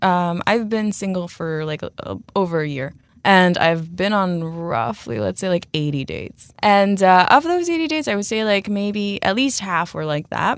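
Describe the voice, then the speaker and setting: A woman with a normal speaking voice and a North American accent, medium pitch, lively intonation, moderate pace and hardly any pauses. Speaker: anonymous blogger. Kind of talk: casual chat.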